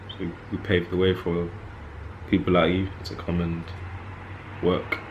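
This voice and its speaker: Over noticeable background noise and audible room echo, a man with a very deep, low pitch speaks at a moderate pace in a monotone, flat delivery. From North London, of Jamaican descent. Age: 20s. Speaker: podcast co-host. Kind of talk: casual chat.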